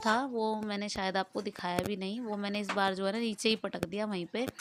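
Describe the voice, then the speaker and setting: Over noticeable background noise, a woman of medium pitch speaks at a moderate pace with fairly even intonation. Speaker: vlogger. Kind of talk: casual vlog narration. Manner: chatty, conversational.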